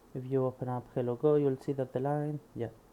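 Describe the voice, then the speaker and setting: Speaking with a Spanish accent, a man uses a dark, mellow tone at a medium pitch and moderate pace. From Spain. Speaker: programmer studying a book. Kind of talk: reading aloud with commentary. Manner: halting.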